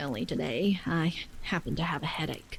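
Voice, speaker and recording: A woman in a put-on character voice, very deep and low in pitch, at a moderate pace over clear background noise. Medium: read story. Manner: excitable, childish.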